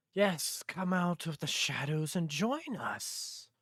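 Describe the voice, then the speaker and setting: A man puts on a high-pitched character voice, speaking at a fairly slow pace. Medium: actual play. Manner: coaxing, unsettlingly friendly.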